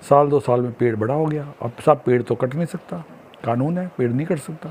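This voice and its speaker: A man talks at a moderate pace. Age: 60s. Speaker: social commentator. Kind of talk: monologue.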